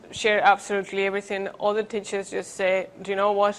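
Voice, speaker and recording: A woman speaks in a Spanish accent. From Spain. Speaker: education researcher; conference presenter. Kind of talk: conference presentation. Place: hall.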